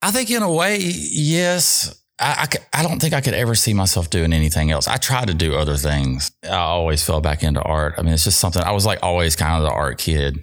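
A man with a Mississippi accent at a fairly quick pace, his loudness very even. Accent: US Southern (Mississippi). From Mississippi (South Jackson). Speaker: artist and sign maker. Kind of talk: interview. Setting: studio.

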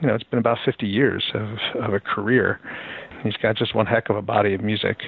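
A man with an American accent talks at a fairly quick pace in a fairly low pitch. His intonation is monotone and flat, and there is noticeable background noise. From Philadelphia, US. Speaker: music blogger. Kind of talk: interview. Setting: phone call.

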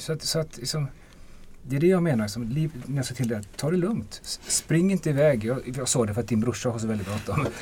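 An ordinary speaking voice with lively intonation. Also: man, medium pitch for a man, fairly quick pace. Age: 50s. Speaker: defence lawyer. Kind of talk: casual chat.

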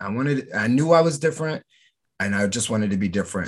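A man talks at a very fast pace with an American accent. His pitch swings very widely over a quiet background. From New Jersey (Camden, near Philadelphia). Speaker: professional wrestler. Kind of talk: interview.

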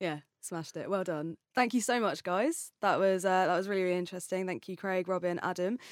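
Using a plain, everyday voice, a woman at medium pitch talks at a fairly quick pace with fairly even intonation and hardly any pauses. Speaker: podcast host. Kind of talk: scripted intro then casual interview.

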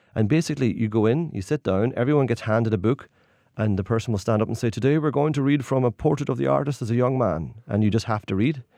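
Against a quiet background, a man with a Donegal accent talks at a very fast pace with lively intonation, a dark, mellow tone and medium pitch. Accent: Donegal Irish. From Ireland, Derry and Donegal. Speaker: tour guide. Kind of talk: radio interview.

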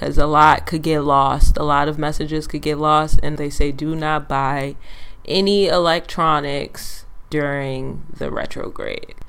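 Amid audible room echo, a woman with a very deep, low pitch and a slight Caribbean accent talks at a fairly slow pace in a monotone, flat intonation, her loudness swinging widely. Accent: slight Caribbean hint. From Antiguan heritage. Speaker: podcast co-host. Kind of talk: casual chat.

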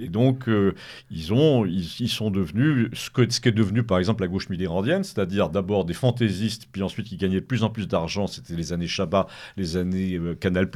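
The recording is very clean with a silent background, and a man with a fairly low pitch has a plain, everyday voice. He talks at a fairly quick pace with ordinary pitch variation. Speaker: author. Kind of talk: radio interview.

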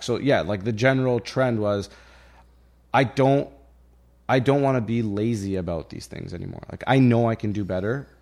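An unremarkable speaking voice from a man, fairly low in pitch with ordinary pitch variation, on a very clean recording with a silent background. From Egypt, raised in Canada (Ontario). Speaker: cannabis and real estate entrepreneur. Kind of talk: casual conversational interview. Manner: casual, filler-heavy, informal.

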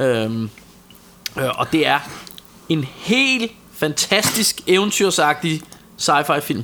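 Over noticeable background noise, a man with a fairly high voice speaks at a very slow pace with long, frequent pauses, very wide pitch swings and very even loudness. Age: 40s. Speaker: podcast co-host. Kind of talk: casual chat. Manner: halting.

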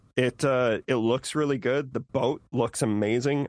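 A man talks at medium pitch and a moderate pace with an ordinary speaking voice and fairly even intonation. The sound is dry and close, with no echo. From Saskatchewan, Canada. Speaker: podcaster, guest. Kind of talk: casual chat.

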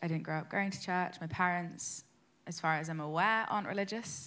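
On a very clean recording with a silent background, a woman speaks at a medium pitch in a bright, sharp tone with ordinary pitch variation. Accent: London. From London. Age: 20s. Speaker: church course participant. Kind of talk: testimony.

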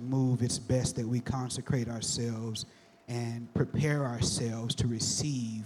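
With noticeable background noise behind him, a man speaks at a moderate pace. His medium-pitched voice stays monotone and flat. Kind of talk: panel talk at a church event.

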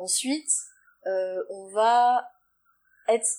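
A woman's fairly high voice with lively intonation, on a very clean recording with a silent background. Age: 30s. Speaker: nutrition therapist and naturopath. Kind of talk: interview, explaining advice.

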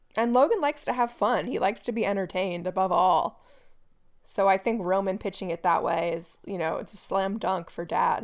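With a normal speaking voice, a woman talks at a fairly quick pace and medium pitch with ordinary pitch variation, recorded very cleanly against a silent background. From United States. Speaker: podcast co-host. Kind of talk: casual podcast discussion of a TV show.

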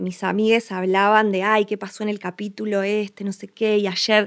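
A woman's medium-pitched voice with an Argentine accent. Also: very clean recording, silent background. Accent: Rioplatense Argentine Spanish. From Argentina, Buenos Aires province coast. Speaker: film director and producer. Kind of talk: casual interview conversation.

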